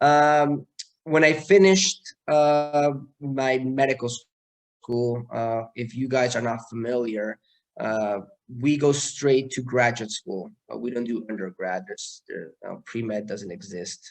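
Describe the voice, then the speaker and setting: Fairly slow male speech in a Mexican accent, medium in pitch, with ordinary pitch variation and big swings in loudness. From Mexico City. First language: Spanish. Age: 30s. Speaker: neurosurgeon. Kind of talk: talk to students. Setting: video call. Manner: hesitant, many fillers.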